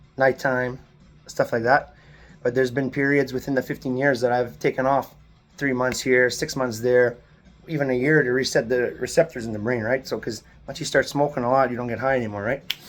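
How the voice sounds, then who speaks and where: Over music in the background, a man talks at a moderate pace in a medium pitch, with fairly even intonation. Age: 30s. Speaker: video blogger. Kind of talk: personal testimony to camera. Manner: halting, with fillers and restarts.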